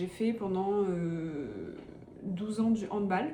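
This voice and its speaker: Amid noticeable background noise and audible room echo, a woman speaks very slowly in a medium pitch with lively intonation. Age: 20s. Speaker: vlogger and student runner. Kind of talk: casual vlog talk. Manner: casual, many fillers.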